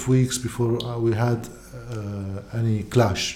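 A somewhat breathy man with a Lebanese accent, at a very slow pace. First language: Arabic. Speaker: podcaster and former TV journalist. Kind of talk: casual interview conversation.

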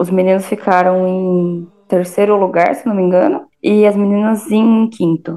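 A woman with a plain, everyday voice, medium pitch and fairly even intonation, at a fairly slow pace with hardly any pauses. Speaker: alumna, former softball player. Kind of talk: casual chat.

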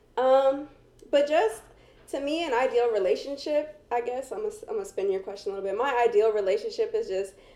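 A woman with an American accent talks at a very fast pace in a high pitch, with very wide pitch swings. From New Jersey, US. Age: 20s. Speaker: co-host, makeup artist and aspiring actress. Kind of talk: casual chat.

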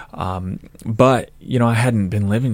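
A man with an American accent has a plain, everyday voice at a fairly low pitch. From Idaho, Nampa. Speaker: politician and army veteran. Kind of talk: interview.

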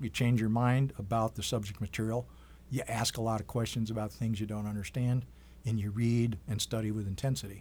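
Somewhat breathy, a man talks at medium pitch and a moderate pace. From Wisconsin, Oneida reservation near Green Bay. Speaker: doctor. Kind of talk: interview, life story.

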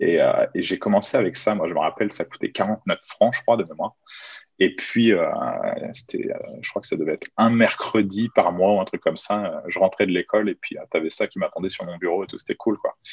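The man talks at a fairly quick pace, and the sound is dry and close with no echo. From France, Chartres area. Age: 30s. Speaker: professional magician. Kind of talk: casual interview. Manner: casual, hesitant with fillers.

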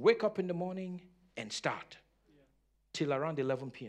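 A man with a high pitch talks at a fairly quick pace. His tone is animated and his intonation lively. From Nigeria. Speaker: pastor. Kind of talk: sermon. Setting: church.

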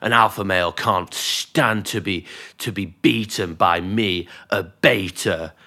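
Using a British accent, a man talks with a very deep, low voice and ordinary pitch variation. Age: 20s. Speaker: podcast co-host. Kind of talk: casual chat. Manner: animated.

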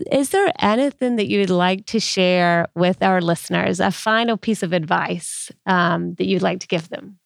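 A woman with an ordinary speaking voice talks at medium pitch with ordinary pitch variation and hardly any pauses, the sound dry and close with no echo. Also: moderate pace. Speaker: podcast host. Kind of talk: interview.

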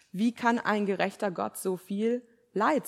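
A woman talks with vocal fry. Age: 20s. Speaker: preacher, theology student. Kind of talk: sermon. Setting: church.

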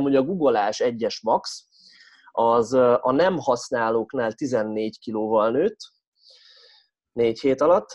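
An unremarkable speaking voice with ordinary pitch variation against a quiet background. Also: man. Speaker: strength coach and podcast host. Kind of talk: casual chat.

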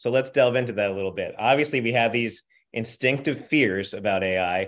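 Here is a man with an unremarkable speaking voice and fairly low pitch. He talks at a fairly quick pace on a very clean recording with a silent background. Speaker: podcast host and editor. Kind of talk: interview.

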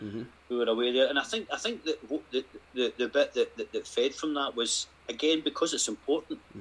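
With a Scottish accent, a man talks at a very fast pace. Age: 50s. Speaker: retreat participant sharing faith story. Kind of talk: testimony.

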